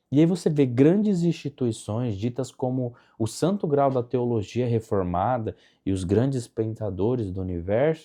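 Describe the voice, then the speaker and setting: Over a quiet background, the voice moves at a moderate pace with very wide pitch swings and a dark, mellow tone. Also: man. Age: 20s. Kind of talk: casual talk to camera.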